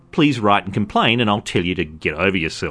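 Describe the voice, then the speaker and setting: A man speaks in an Australian accent. His pace is fairly quick. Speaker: podcast host. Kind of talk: monologue commentary. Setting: recorded at a party.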